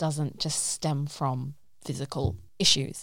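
A woman speaks with a London accent and a very deep, low pitch. The recording is very clean, with a silent background. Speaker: podcast host. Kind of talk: casual chat. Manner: fast.

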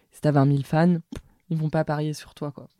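At a moderate pace, a woman talks in a very deep, low voice with a dark, mellow tone. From Paris. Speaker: media founder. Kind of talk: interview. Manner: hesitant, many fillers.

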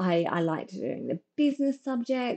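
A woman talks with an Australian accent at a fairly slow pace. Her intonation is lively. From Brisbane, Australia. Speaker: partnerships consultant. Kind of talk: casual interview.

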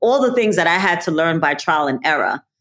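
At a fairly quick pace, a woman with a New York accent speaks at a fairly low pitch. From New York City, Brooklyn. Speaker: college alumna, nonprofit professional. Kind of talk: interview.

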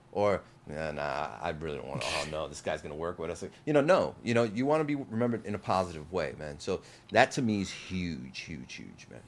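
Very deep and low, a man's voice in a New Jersey accent carries vocal fry at a fairly quick pace. His pitch swings very widely, and his loudness swings a lot too. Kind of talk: casual interview chat. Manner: animated, enthusiastic.

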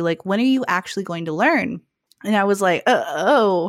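The sound is dry and close with no echo as a woman speaks at a fairly quick pace. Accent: American. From Phoenix, Arizona. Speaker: actor, musician and content creator. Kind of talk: casual interview. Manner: hesitant fillers.

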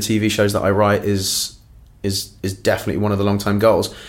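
Room echo can be heard around this man. He speaks at a moderate pace with a fairly low pitch. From Ireland, raised in London. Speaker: actor and comedy writer. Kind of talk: casual interview. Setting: backstage dressing room.

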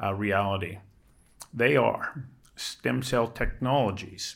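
This man has an unremarkable speaking voice. His pitch is medium, with ordinary pitch variation. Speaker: moderator host. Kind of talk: moderated panel discussion. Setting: live event with audience.

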